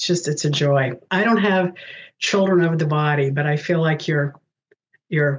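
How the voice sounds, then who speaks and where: A woman's very deep, low voice at a moderate pace, with ordinary pitch variation and long, frequent pauses. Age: 70s. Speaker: spiritual director. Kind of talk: interview.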